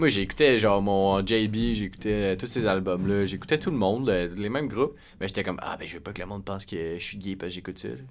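Leaving hardly any pauses, a man talks at a fairly quick pace in a Quebec accent. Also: fairly low pitch for a man, ordinary pitch variation. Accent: Québécois French. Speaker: podcast co-host. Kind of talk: casual chat.

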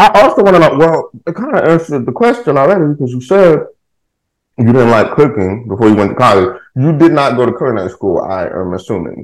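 With vocal fry and an American accent, a man talks at a fairly quick pace in a fairly high pitch, his pitch swinging very widely. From Texas, Houston. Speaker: podcast host. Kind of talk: casual chat. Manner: animated.

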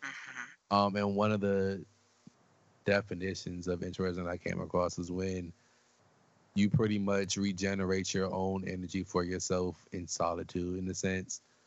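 With an American accent, a man speaks in a very deep, low pitch at a moderate pace, his intonation monotone and flat. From DMV area (Washington DC region). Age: young. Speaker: podcaster and bartender. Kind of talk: casual interview chat.

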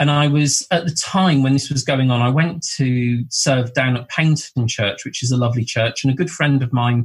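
A man's medium-pitched, somewhat breathy voice with a southern English accent and fairly even intonation. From southern England, Bournemouth. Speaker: medium and spiritual teacher. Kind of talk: casual interview chat.

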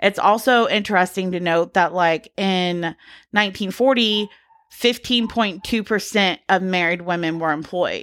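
A woman speaks at a fairly slow pace in a normal speaking voice, medium in pitch with ordinary pitch variation, on a very clean recording with a silent background. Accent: American. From US South, Georgia. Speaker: podcast co-host. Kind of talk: casual chat with researched topic segments.

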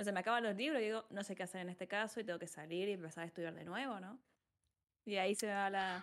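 A woman talks at a very fast pace. Her voice sits at medium pitch with ordinary variation. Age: 20s. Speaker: psychologist and streamer. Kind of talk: casual interview.

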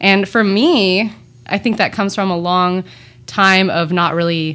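A woman talks at a fairly slow pace with fairly even intonation. Hers is a plain, everyday voice. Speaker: juice company owner. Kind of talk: casual chat.

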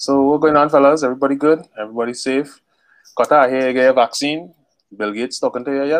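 A man with a Trinidadian accent at a very fast pace, fairly high in pitch, with fairly even intonation. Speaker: podcast host. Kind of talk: casual chat.

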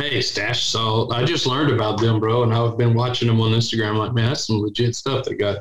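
With a strong Texan accent, a man speaks at a fairly quick pace in a medium pitch, with very even loudness and hardly any pauses. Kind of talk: casual chat. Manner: animated.

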